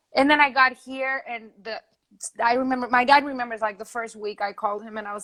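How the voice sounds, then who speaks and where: On a very clean recording with a silent background, a woman with a Spanish accent talks at a very fast pace with ordinary pitch variation. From Spain, Madrid. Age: 20s. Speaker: singer-songwriter. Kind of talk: interview.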